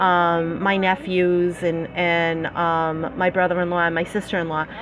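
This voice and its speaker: With a Massachusetts accent, the speaker uses fairly even intonation over noticeable background noise. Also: woman. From Massachusetts, US (Fall River area). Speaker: slot play YouTuber. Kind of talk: live stream chat. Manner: casual, many filler words.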